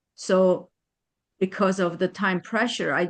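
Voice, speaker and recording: A woman with a non-native accent at a fairly slow pace, her sound dry and close with no echo. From Germany. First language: not English. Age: 60s. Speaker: attorney. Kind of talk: testimony. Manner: halting.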